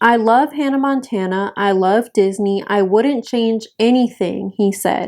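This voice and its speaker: A woman with a Southern US accent. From North Carolina, US South. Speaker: YouTuber. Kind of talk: casual commentary. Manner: animated.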